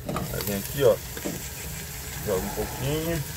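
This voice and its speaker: Loud background noise runs under a man talking at a fairly slow pace. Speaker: travel vlogger cooking. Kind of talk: casual cooking tutorial. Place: kitchen. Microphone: camera far.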